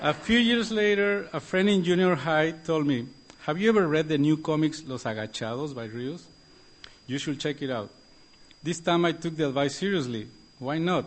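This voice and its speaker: In a Mexican accent, a man speaks at a fairly high pitch. His delivery is moderately paced with lively intonation. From Mexico. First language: Spanish. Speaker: political cartoonist. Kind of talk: prepared award speech. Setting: stage at gala.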